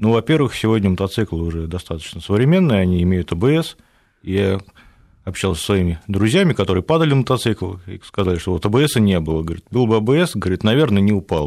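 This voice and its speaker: An unremarkable speaking voice, this man's fairly low pitch moves with lively intonation at a fairly quick pace. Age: 30s. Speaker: caller. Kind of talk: phone-in question.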